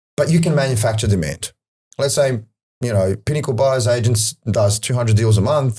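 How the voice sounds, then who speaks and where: The man's voice sits at a medium pitch with a dark, mellow tone and is somewhat breathy. He talks at a fairly quick pace with ordinary pitch variation and very even loudness. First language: not English. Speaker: property data analyst. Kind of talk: podcast interview.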